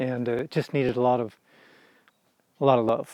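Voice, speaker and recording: A man speaks at a moderate pace with a dark, mellow tone. The recording is very clean, with a silent background. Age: 60s. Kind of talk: casual interview. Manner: hesitant, many fillers.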